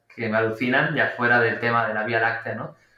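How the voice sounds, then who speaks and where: Audible room echo surrounds a man talking at a medium pitch and a moderate pace. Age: 30s. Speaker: storm photographer. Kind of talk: interview podcast. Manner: hesitant, with fillers.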